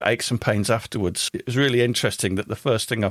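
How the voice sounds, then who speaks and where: A man talks with an English accent and fairly even intonation, recorded very cleanly against a silent background with a dry, close sound and no echo. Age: 60s. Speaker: podcast host. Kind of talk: casual interview chat.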